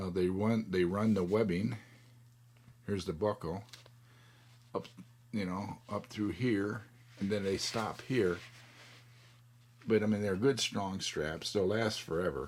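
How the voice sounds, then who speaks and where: A fairly low male voice at a fairly slow pace with ordinary pitch variation. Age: 60s. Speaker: DIY product reviewer. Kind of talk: tutorial. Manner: casual, filler-heavy with frequent okay.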